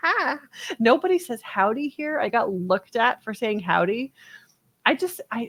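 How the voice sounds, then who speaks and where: A woman talks at a moderate pace in a fairly high voice with an American accent. Her pitch swings very widely, and the sound is dry and close with no echo. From North Texas (Dallas). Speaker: podcast co-host. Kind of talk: casual chat, storytelling.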